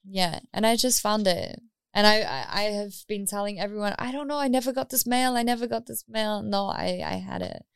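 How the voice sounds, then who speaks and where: A woman with a New Zealand accent speaks at a fairly quick pace and medium pitch, with ordinary pitch variation and hardly any pauses. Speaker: DJ and music artist. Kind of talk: interview.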